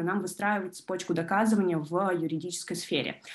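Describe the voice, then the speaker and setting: A woman speaks at a fairly quick pace. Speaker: law student and junior lawyer. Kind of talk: online presentation. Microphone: video call.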